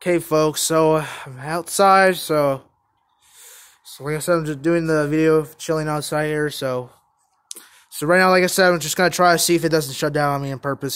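Against a quiet background, the speech moves at a fairly quick pace with fairly even intonation. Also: man. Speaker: vlogger. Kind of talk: casual vlog chat. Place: street. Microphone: phone near.

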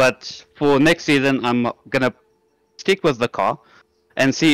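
In an unremarkable speaking voice, a man talks at a moderate pace with fairly even intonation and a dry, close sound with no echo. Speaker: sim racing driver. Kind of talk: post-race interview.

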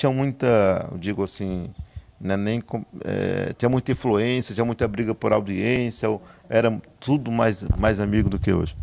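His pace is moderate. The man keeps his intonation fairly even. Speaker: interviewer. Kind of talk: casual interview. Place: home room. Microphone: handheld.

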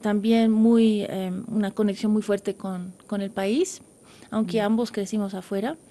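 A woman speaks at a fairly high pitch with fairly even intonation. Her tone is dark and mellow, and her pace is fairly slow. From grew up abroad (USA, Netherlands, Europe), Bolivian-Dutch parents. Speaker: concert pianist; guest. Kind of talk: radio interview. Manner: halting, many fillers. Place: studio.

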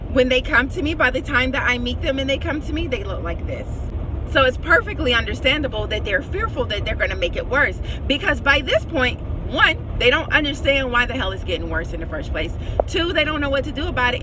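Against noticeable background noise, a woman speaks at a fairly quick pace in a dry sound with no echo. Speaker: hair care coach. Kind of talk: casual vlog advice. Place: car. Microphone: phone near.

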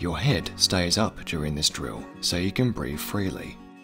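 A man talks with lively intonation as music plays in the background. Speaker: voice-over artist. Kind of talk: educational narration.

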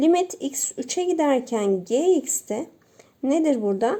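A woman speaks with a high pitch and lively intonation. Her pace is very slow. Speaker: math teacher. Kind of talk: tutorial.

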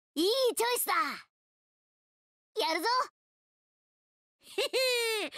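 A woman's cartoonish character voice. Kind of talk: video game character lines. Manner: cocky, upbeat.

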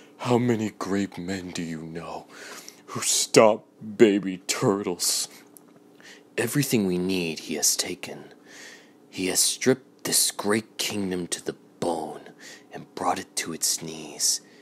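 This is a put-on character voice with a raspy texture. It moves at a fairly slow pace. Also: man, very deep, low pitch for a man. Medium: fan dub. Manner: solemn, grandiose, mournful.

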